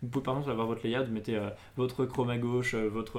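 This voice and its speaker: A man speaks at a very fast pace with a medium pitch. His intonation stays flat and monotone. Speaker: tech news show host. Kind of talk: casual tech news chat. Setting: studio, live stream.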